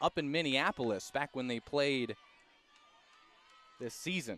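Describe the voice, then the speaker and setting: A man talks at a fairly slow pace in a plain, everyday voice. His pitch varies in an ordinary way. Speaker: sports play-by-play announcer. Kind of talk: radio sports play-by-play.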